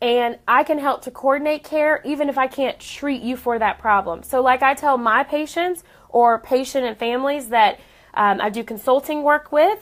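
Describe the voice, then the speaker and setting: With an animated tone, a woman speaks at a high pitch with ordinary pitch variation. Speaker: radiation oncologist, cancer doctor. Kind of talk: live stream talk. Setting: clinic office. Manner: fast.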